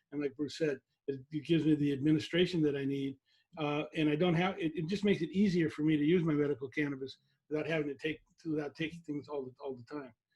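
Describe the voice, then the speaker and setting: At a very fast pace, a man with a somewhat breathy voice and a fairly high pitch speaks with fairly even intonation. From San Francisco Bay Area. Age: 60s. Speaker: webinar host. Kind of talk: educational webinar. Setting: video call.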